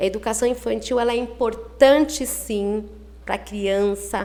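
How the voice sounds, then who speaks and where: In a normal speaking voice, a woman talks fairly slowly at a fairly high pitch with fairly even intonation. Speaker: early childhood teacher. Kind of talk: interview.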